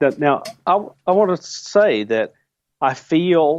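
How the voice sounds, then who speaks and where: With ordinary pitch variation and a fairly high pitch, a man talks in a normal speaking voice. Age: 60s. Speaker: UFO researcher. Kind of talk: interview.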